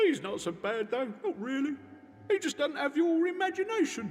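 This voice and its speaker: Over clear background noise, a put-on character voice moves at a moderate pace with very wide pitch swings. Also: man, extremely high pitch for a man. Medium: video game. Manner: chatty, rambling.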